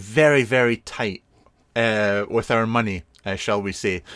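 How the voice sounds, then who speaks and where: On a very clean recording with a silent background and a dry, close sound with no echo, a man with a Scottish accent speaks at a medium pitch with ordinary pitch variation. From Scotland (Fife). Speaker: vape product reviewer. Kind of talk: casual live stream review. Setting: live stream. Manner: casual, hesitant with fillers.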